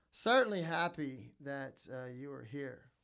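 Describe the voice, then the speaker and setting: Here is a man with an American accent. His pitch is fairly high. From New Orleans, Louisiana. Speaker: college professor, podcast co-host. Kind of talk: casual chat. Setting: studio. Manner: animated.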